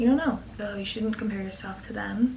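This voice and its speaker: A quiet woman's voice at a very fast pace, with audible room echo and noticeable background noise. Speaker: college student vlogger. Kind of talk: casual advice vlog.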